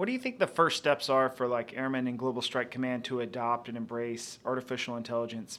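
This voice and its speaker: In a plain, everyday voice, a man speaks at a fairly quick pace with medium pitch and fairly even intonation. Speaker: co-host, interviewer. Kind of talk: podcast interview.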